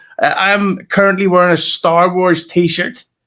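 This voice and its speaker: Someone with a Scottish accent speaks at a moderate pace in a very clean recording with a silent background. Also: man. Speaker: podcast co-host. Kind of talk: casual chat. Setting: home recording, different room.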